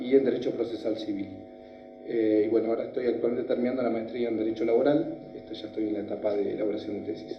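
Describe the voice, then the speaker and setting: Music plays in the background as the speaker goes at a very fast pace with monotone, flat intonation and audible room echo. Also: man, medium pitch for a man. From Argentina, Neuquén province (Villa La Angostura). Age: 40s. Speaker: lawyer, judicial candidate. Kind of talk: job interview, formal personal presentation. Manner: many filler sounds (eh, este).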